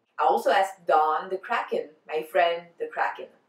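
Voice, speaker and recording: Speaking with a strong French accent, a woman at medium pitch moves at a moderate pace with lively intonation. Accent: French, thick. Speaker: fan vlogger. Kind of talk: casual vlog answering tag questions.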